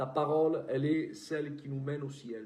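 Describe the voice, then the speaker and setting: With a southern French accent, a man speaks at a fairly high pitch in a dark, mellow, somewhat breathy tone, his intonation fairly even, with audible room echo around him. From southern France. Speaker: preacher. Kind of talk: prayer; sermon.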